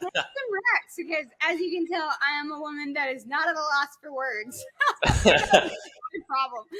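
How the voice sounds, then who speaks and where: A woman with an American accent speaks at a fairly slow pace in a high pitch, her voice raised and projected. Her intonation is lively, with big swings in loudness. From US, Swedish American family. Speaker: speed painter. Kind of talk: podcast interview. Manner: animated.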